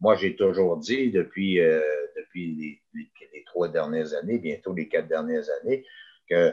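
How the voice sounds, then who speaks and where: A man speaking at a very slow pace. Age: 60s. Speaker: mayor. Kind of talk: interview. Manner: halting, many hesitations.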